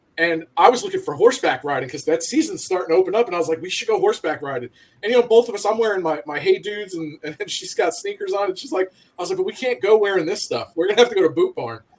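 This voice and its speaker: A man with an American accent talks very fast. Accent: Northeastern US accent, noticeable to locals. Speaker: military veteran. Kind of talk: casual chat.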